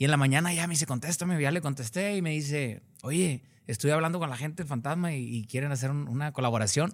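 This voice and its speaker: Very fast speech from a man, fairly high-pitched, with ordinary pitch variation. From Cadereyta Jiménez, Nuevo León, northern Mexico. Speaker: singer. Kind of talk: interview.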